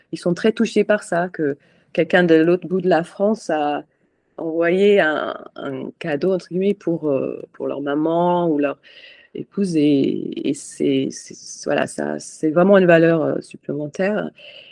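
The speech comes at a fairly slow pace with fairly even intonation and long, frequent pauses. The sound is dry and close with no echo, against a quiet background. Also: woman. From Scotland, Edinburgh. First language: English (speaking French). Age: 40s. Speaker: charity president. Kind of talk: interview. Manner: halting.

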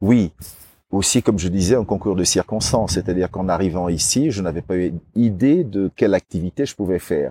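A man with a very deep, low pitch and a dark, mellow tone talks at a fairly quick pace in a very clean recording with a silent background and a dry, close sound with no echo. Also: ordinary pitch variation. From Cameroon. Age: 50s. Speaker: guesthouse owner, former restaurateur. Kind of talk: casual interview. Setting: at his house in São Tomé.

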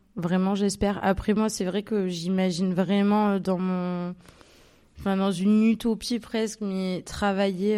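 A woman speaks at a fairly slow pace in a dark, mellow tone of medium pitch. Her intonation stays flat and monotone, on a very clean recording with a silent background. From Marseille, southern France. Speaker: photographer. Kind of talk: live interview before audience. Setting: stage with live audience.

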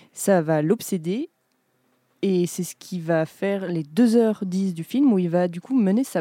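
A woman's dark, mellow, fairly low voice with lively intonation in a dry, close sound with no echo. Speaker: podcast host. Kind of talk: casual chat.

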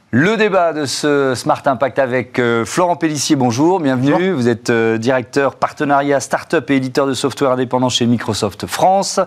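Over noticeable background noise, the speech holds a very even loudness at a moderate pace with ordinary pitch variation. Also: man. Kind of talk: interview and debate moderation. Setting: studio.

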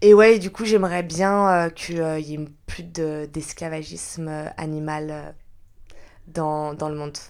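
Speaking at a very slow pace, a woman uses a very deep, low pitch with fairly even intonation. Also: big swings in loudness. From France, Lyon area. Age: 20s. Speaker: podcast guest. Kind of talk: personal testimony interview. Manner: hesitant, many fillers.

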